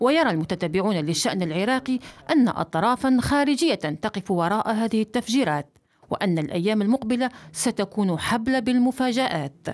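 A woman's fairly high voice with very wide pitch swings and very even loudness, on a very clean recording with a silent background. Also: moderate pace. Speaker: news reporter. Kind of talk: news report narration. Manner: formal.

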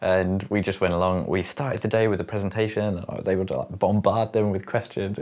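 With hardly any pauses, a man with a fairly low voice talks at a fairly quick pace against a quiet background. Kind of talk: casual vlog chat. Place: home room. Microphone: lapel.

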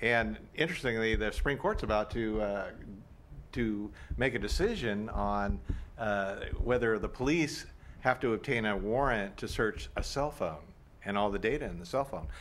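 Moderate-paced talk from a man, medium in pitch and marked by vocal fry. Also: ordinary pitch variation. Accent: American. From Oakland, California; California. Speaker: local party official; panelist on political commentary show. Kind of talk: panel discussion. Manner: halting with repetitions. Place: studio.

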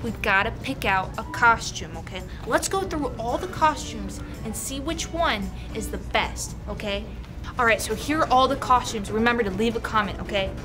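Music sounds clearly in the background. Over it, a woman talks at a moderate pace. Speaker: vlogger. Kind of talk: casual vlog chat. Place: shop. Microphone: camera far.

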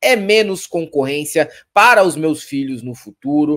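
A quiet background sits behind this man. He talks at a fairly slow pace. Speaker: commentary host. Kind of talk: heated commentary, sarcastic. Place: home room.

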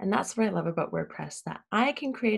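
With a Canadian accent and vocal fry, a woman speaks at a medium pitch with very wide pitch swings over a quiet background. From Ontario, Canada. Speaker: web design business owner. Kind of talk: tutorial. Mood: enthusiastic, friendly. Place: home room.

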